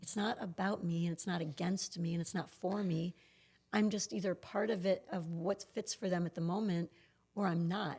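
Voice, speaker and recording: A somewhat breathy woman with an American accent, medium in pitch, at a moderate pace with fairly even intonation. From Pennsylvania. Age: 60s. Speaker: yoga studio owner and entrepreneur. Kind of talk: podcast interview.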